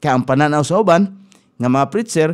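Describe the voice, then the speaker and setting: A man speaks in a fairly high pitch. The background is quiet. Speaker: radio preacher. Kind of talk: radio sermon, Bible teaching. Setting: radio studio. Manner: earnest, exhortative, steady preaching cadence; formal, pastoral, mixes in English Bible verses. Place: studio. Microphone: studio mic.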